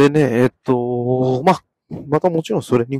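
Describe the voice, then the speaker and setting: A man's medium-pitched, dark and mellow voice with ordinary pitch variation, in a dry, close sound with no echo. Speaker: podcast host sharing panic disorder experience. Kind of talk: casual solo talk. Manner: halting, many fillers; polite formal.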